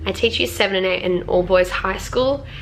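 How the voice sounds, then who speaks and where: Clearly audible background noise fills the recording. Through it, a woman speaks at a mid-range pitch. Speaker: music teacher. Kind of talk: vlog tips talk.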